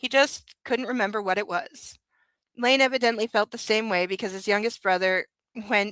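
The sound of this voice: With a quiet background, an unforced reading voice carries ordinary pitch variation.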